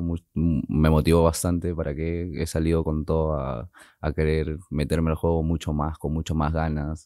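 A man with a very deep, low pitch and a dark, mellow tone speaks at a moderate pace in a flat monotone, with hardly any pauses, in a dry sound with no echo against a quiet background. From Peru. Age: 20s. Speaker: tattoo artist. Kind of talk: casual chat. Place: studio. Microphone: studio mic.

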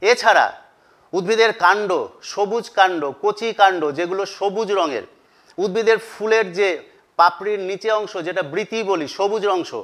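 Against a quiet background, a man with a high pitch speaks with fairly even intonation. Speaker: teacher. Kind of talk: lecture. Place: classroom. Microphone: lapel.

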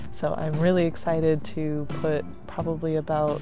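A woman speaks with a very deep, low pitch. Clear music plays in the background, and the sound is dry with no echo. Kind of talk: casual vlog chat. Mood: cheerful, laughing often. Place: street. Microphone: phone near.

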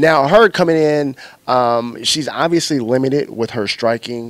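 In a dry sound with no echo, a man uses a plain, everyday voice at a fairly slow pace with ordinary pitch variation. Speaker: MMA interviewer. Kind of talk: sports interview. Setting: martial arts gym. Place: gym. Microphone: handheld.

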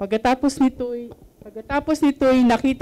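A woman's dark, mellow tone at a moderate pace. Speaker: scripture reader. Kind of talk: reading aloud. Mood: solemn, measured. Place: hall. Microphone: handheld.

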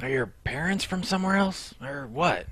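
This cartoonish character voice sits at a middle pitch and sounds raspy. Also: moderate pace. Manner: inquisitive.

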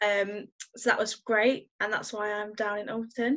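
Speaking with a West Midlands accent, a woman goes at a very slow pace in a monotone, flat intonation. The background is quiet. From English West Midlands. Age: 20s. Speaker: youth worker. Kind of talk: casual interview. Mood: cheerful, excited. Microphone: video call.

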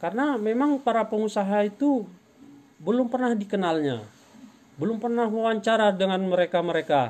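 A man speaks with a high pitch and a slightly mellow tone. His pitch varies in an ordinary way. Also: moderate pace.

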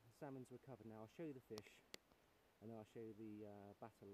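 A man talks at a very fast pace and fairly low pitch, with fairly even intonation. The sound is dry with no echo, and background noise is noticeable. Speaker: presenter. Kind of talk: casual vlog chat. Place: waterside. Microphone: phone near.

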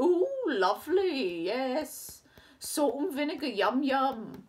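A female-sounding, put-on character voice sits at a high pitch. The pace is very slow. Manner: greedy, gleeful.

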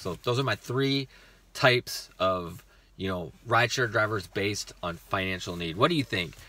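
This man's voice has a bright, sharp tone and ordinary pitch variation. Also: dry sound with no echo. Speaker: rideshare driver vlogger. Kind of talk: casual vlog chat. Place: car. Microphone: phone near.

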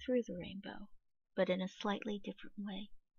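With a soothing, calm tone, a woman talks at a medium pitch using fairly even intonation and vocal fry. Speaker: meditation guide. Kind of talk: guided meditation, reading aloud second-person visualization script from a book. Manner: soothing, calm and gentle, lingering on sensory descriptions.

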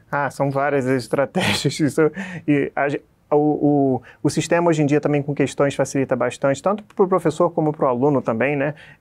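Fairly even intonation at a fairly quick pace against a quiet background. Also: man, fairly high pitch for a man. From Rio de Janeiro state, Brazil (Petrópolis); Rio de Janeiro state, Brazil. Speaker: physiotherapy professor; physiotherapy teacher. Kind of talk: interview. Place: office. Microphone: lapel.

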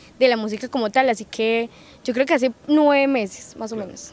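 A woman at a moderate pace in a normal speaking voice, fairly even intonation, dry sound with no echo. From Colombia, Risaralda (Quinchía); Risaralda, Colombia. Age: young. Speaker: singer; interviewee. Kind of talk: interview. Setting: recorded in Pereira. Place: open country. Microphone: handheld.

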